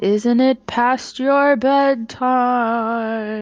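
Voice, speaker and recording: Faint music plays behind a high-pitched, female-sounding put-on character voice. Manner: spooky, eerie.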